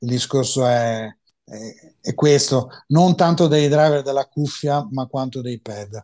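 A man speaks at a very slow pace in a dark, mellow tone, with ordinary pitch variation, big swings in loudness and a quiet background. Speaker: mastering engineer and headphone expert; guest. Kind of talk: interview. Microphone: video call.

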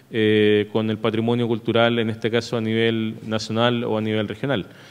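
A man is talking at a fairly quick pace. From Chile, La Serena; Chile. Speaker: emergency management official; presenter. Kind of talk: conference presentation. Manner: hesitant, frequent filler eh. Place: hall. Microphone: podium.

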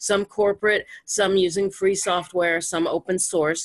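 The background is quiet. A woman talks at a moderate pace. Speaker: meeting host, cooperative member; meeting host. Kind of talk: casual discussion. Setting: video call. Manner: animated. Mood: enthusiastic, warm. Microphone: video call.

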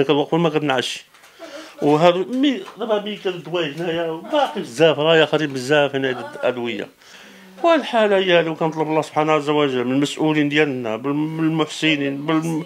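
With an unremarkable speaking voice, a man talks at a fairly quick pace and fairly high pitch, with ordinary pitch variation and light background noise. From Morocco. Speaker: sanitation worker. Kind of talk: testimony. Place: home room. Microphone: handheld.

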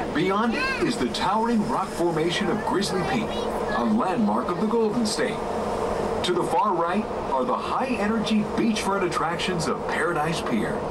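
Moderate pace amid loud background noise. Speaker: recorded monorail narrator. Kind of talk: tour announcement. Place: train.

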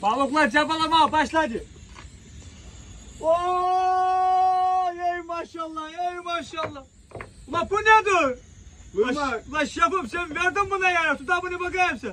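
A man speaks at a very slow pace in an extremely high pitch, his voice raised and projected. His pitch varies in an ordinary way, and there is noticeable background noise. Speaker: fisherman. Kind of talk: casual talk to camera. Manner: natural, playful.

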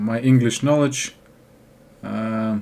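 A man with a Russian accent speaks at a very slow pace. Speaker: English learner vlogger. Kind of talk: casual talk to camera. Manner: hesitant, halting. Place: home room. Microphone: webcam.

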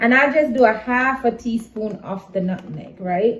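A woman is speaking. Light background noise can be heard behind her. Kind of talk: tutorial. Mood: relaxed, chatty. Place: kitchen. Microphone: camera far.

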